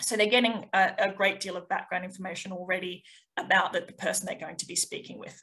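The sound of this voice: Speaking fast with fairly even intonation, a woman uses a fairly low-pitched voice with a bright, sharp tone.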